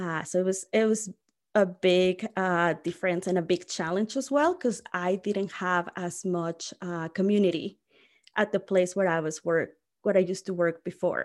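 A woman with a Mexican accent and fairly even intonation, on a very clean recording with a silent background. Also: medium pitch for a woman, moderate pace. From Mexico (Mexico City). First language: Spanish. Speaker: college staff, former international student. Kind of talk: casual interview. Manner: many fillers and restarts.

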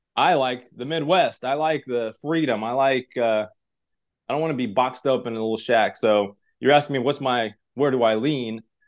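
Against a quiet background, a man with an American accent speaks in an ordinary speaking voice at a medium pitch and moderate pace, with ordinary pitch variation. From Uzbekistan (Tashkent), then Russia; US from childhood. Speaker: real estate entrepreneur. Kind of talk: casual interview chat.

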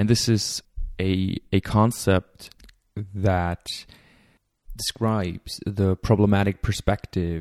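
A man speaks very slowly with a very deep, low pitch and a dark, mellow tone, his intonation monotone and flat. The sound is dry and close with no echo, on a very clean recording with a silent background. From Germany. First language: German. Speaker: podcast host. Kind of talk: lecture-style introduction.

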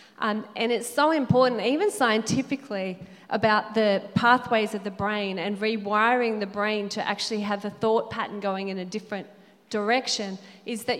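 A woman's voice sits fairly high in pitch and moves at a moderate pace. Noticeable background noise runs underneath. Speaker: panelist. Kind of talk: panel Q&A at church event.

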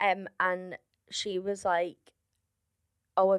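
Speaking very slowly in a Liverpool accent, a woman comes through with a dry, close sound and no echo. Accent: Liverpool (Scouse), noticeable to audiences. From Liverpool, England. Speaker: stand-up comedian. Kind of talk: casual chat.

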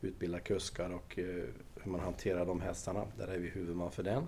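A man talks at a moderate pace with a very deep, low pitch. His tone is dark, mellow and somewhat breathy. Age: 60s. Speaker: equestrian centre director. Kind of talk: interview. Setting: on location at equestrian centre.

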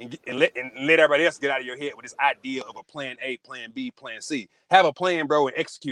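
Talking at a very fast pace, a man has a Southern US accent and a fairly high pitch. The sound is dry and close with no echo. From Arkansas. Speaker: former college athlete and author. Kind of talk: interview.

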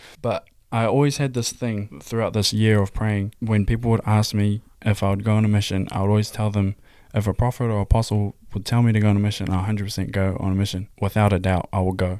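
A man with a New Zealand accent, a fairly low pitch and a dark, mellow tone, monotone, flat intonation at a very fast pace, on a very clean recording with a silent background. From New Zealand, Hamilton. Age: 20s. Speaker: church youth podcaster, filmmaker. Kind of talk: casual faith discussion.

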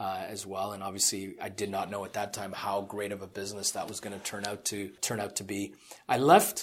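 Over a silent background in a very clean recording, a man speaks fairly quickly in a fairly low, monotone voice with flat intonation. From England. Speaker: investment fund executive. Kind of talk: interview.

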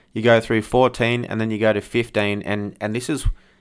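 Recorded very cleanly against a silent background, a man with an Australian accent and a fairly low pitch speaks at a fairly quick pace. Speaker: podcast host. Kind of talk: interview.

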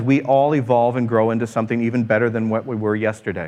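Against a quiet background, a man is speaking. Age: 40s. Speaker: pastor. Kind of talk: sermon. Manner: halting.

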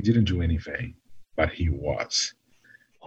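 The speaker talks at a moderate pace. The voice is somewhat breathy, with ordinary pitch variation. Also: man. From Brazil. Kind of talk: casual chat.

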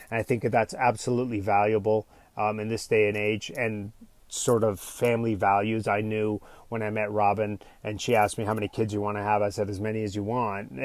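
A man talks at a fairly quick pace in a fairly low, monotone voice with flat intonation. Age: 40s. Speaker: father and coach on a family travel podcast. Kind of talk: solo podcast monologue. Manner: soft-spoken.

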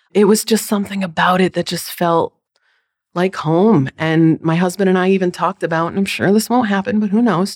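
A woman with an American accent has a normal speaking voice at medium pitch with ordinary pitch variation. She speaks at a fairly quick pace, and the sound is dry and close with no echo. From US Northeast (Connecticut). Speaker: account director. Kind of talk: casual chat.

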